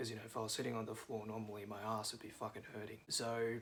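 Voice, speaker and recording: Over noticeable background noise, a man talks at a fairly low pitch with an Australian accent. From Australia, Melbourne. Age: 20s. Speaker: vlogger. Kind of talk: casual monologue vlog. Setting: at home, seated on cushions. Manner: hesitant, many fillers.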